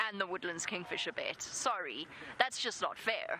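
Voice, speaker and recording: Noticeable background noise accompanies a woman speaking with a South African accent. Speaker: safari guide presenter. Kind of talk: live safari commentary. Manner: casual, self-deprecating.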